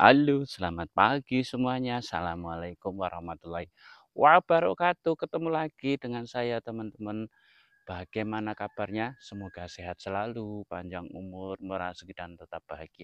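A man at a fairly low pitch and moderate pace, with big swings in loudness and a dry sound with no echo. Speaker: village vlogger. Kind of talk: casual vlog chat. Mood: cheerful morning greeting. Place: street. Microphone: lapel.

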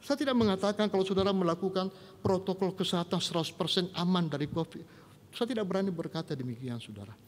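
A man talks at a very fast pace in a high pitch. His intonation is lively. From Indonesia. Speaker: pastor. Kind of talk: sermon. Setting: online church service. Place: church. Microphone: podium.

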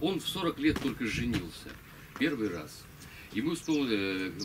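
Noticeable background noise under a man's voice, its pitch swinging very widely. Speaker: local historian giving a talk. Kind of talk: lecture with reading aloud of a memoir. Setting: stage with audience. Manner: halting. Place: tent. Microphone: camera far.

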